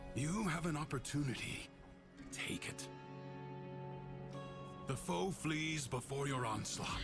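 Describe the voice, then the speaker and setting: Loud music plays in the background. A man uses a put-on character voice with a fairly high pitch. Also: fairly slow pace. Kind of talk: grave epic game guidance. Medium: virtual streamer. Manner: solemn, commanding, formal.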